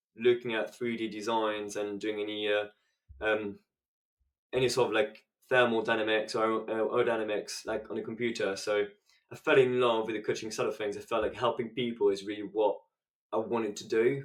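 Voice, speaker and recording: With a French accent, a man of medium pitch talks at a fairly quick pace in a monotone, flat intonation. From France, French Alps. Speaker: business scale-up specialist. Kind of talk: podcast interview.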